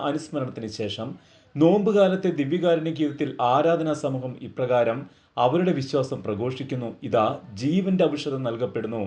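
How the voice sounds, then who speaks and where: A man's unremarkable speaking voice, fairly high in pitch, against a quiet background. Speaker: doctor giving a faith talk. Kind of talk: religious talk. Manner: formal.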